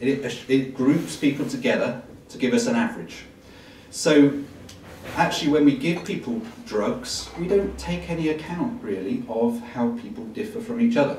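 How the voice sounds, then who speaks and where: A man with a fairly high pitch and very wide pitch swings speaks at a moderate pace, with audible room echo and noticeable background noise. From England. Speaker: medical professor. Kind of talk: public talk. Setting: live audience. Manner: hesitant with fillers.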